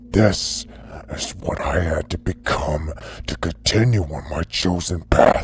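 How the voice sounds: This man uses a put-on character voice, growling at a very deep, low pitch. His pace is fairly slow with ordinary pitch variation, and clear background noise is present.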